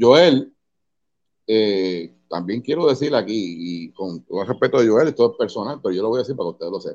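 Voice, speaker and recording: A man with a Puerto Rican accent speaks at a fairly quick pace. His medium-pitched voice has lively intonation. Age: 50s. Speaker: metal band vocalist. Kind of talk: casual interview chat. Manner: animated.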